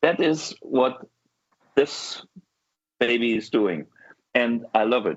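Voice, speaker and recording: In a German accent, a man of medium pitch talks very slowly with long, frequent pauses, big swings in loudness and ordinary pitch variation. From Germany. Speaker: guitar show host. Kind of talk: casual chat. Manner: animated.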